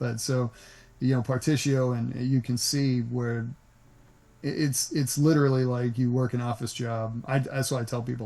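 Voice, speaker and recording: In an American accent, the voice is relaxed and somewhat breathy, with fairly even intonation. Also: man. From US South, Nashville. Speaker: voice actor. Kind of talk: interview. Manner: relaxed, conversational; halting, many restarts.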